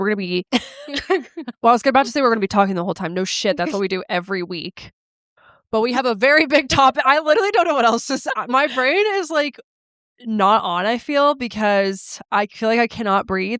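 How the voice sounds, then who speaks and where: With a nasal, fairly high voice, a woman talks at a fairly quick pace with lively intonation, in a dry, close sound with no echo. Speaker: podcast co-host. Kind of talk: casual chat. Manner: nasal sounding.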